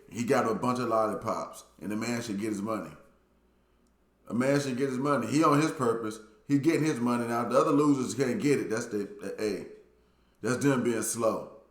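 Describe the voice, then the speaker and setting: Audible room echo surrounds a man with an American accent. He talks at a fairly quick pace with ordinary pitch variation. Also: medium pitch for a man. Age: 40s. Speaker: YouTuber, dating commentator. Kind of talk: casual monologue commentary. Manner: animated.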